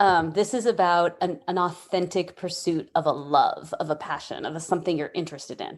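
The background is quiet. A medium-pitched woman talks at a moderate pace. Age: 40s. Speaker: nonprofit executive director and arts therapist. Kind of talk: casual interview chat.

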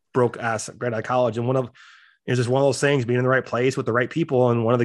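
Over a quiet background, a man with an American accent talks at a very fast pace with a medium pitch. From US Midwest (South Dakota). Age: 40s. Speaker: gym owner and business coach. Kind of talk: casual interview.

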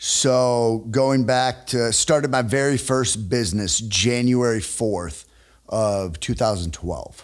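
A man's medium-pitched voice with an American accent, ordinary pitch variation and a very slow pace. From northern Illinois (Rockford, near Chicago). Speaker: sales expert and entrepreneur. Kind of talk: casual interview chat.

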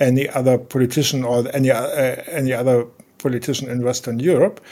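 In a German accent, a man talks at a medium pitch with fairly even intonation on a very clean recording with a silent background. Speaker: journalist and biographer. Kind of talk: interview. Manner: halting, many fillers.

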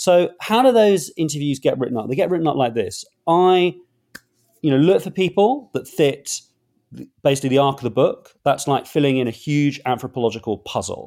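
With a London accent, a man talks fairly quickly in a fairly high voice, his tone dark and mellow and his intonation lively. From London, England. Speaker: author and journalist. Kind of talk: interview.

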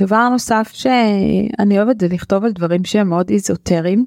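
At a moderate pace and medium pitch, a woman speaks with a dark, mellow tone and fairly even intonation in a dry, close sound with no echo. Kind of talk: casual chat.

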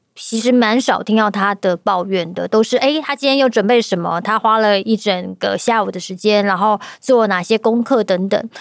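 A woman's plain, everyday voice, fairly high in pitch, at a moderate pace with hardly any pauses. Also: ordinary pitch variation, very clean recording, silent background. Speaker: podcast host and voice-acting studio organizer. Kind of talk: casual chat.

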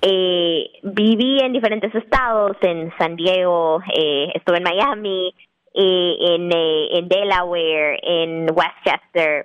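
Loudness stays very even throughout. The pace is very slow, with ordinary pitch variation. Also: woman, medium pitch for a woman. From Guatemala City. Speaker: restaurant owner. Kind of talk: interview testimony. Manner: halting, many fillers.

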